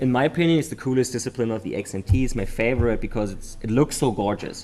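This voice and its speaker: A man speaks at a very fast pace with a German accent. His pitch sits in the medium range. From Germany. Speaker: memory sports commentator. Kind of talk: live commentary. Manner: animated.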